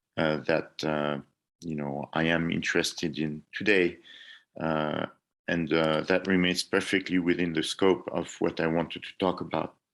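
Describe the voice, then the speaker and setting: Speaking in a French accent, a man uses a very deep, low pitch and a flat, monotone intonation. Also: moderate pace, quiet background. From France. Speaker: engineering professor. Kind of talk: lecture presentation.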